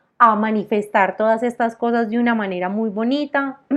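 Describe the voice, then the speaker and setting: A woman talks at a moderate pace and fairly high pitch in a plain, everyday voice. The background stays quiet. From Colombia, Armenia (Quindío, coffee region). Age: 30s. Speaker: entrepreneur. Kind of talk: interview.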